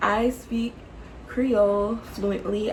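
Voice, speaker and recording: Noticeable background noise surrounds a woman speaking in an animated tone. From Florida, US (Jacksonville). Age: 20s. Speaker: YouTuber, nursing home worker. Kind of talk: casual Q&A vlog.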